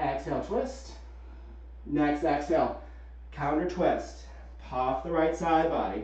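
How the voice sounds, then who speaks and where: Audible room echo surrounds a man who talks at a fairly slow pace with long, frequent pauses. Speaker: yoga instructor. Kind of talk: guided yoga class with calm cueing. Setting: live Zoom video call, students muted. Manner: soothing, calm, instructive; clear, rhythmic, directive. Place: home room.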